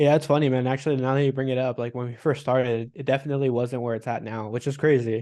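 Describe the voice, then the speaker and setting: Monotone and flat, a man with a dark, mellow tone and a medium pitch talks at a very fast pace. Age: 20s. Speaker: online sales coach. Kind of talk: interview. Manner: casual, filler-heavy.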